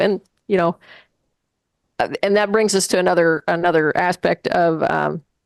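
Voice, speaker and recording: With vocal fry and a fairly low pitch, a woman speaks at a moderate pace and fairly even intonation in a dry, close sound with no echo. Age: 60s. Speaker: life coach. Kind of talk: interview conversation. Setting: radio show interview. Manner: halting, many fillers and restarts.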